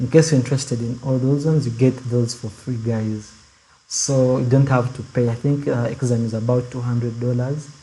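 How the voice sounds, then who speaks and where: Somewhat breathy and dark, mellow in tone, a man speaks at medium pitch. His intonation is monotone and flat, and his pace fairly quick. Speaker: student club leader. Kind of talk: online info session. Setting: video call. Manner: soft-spoken.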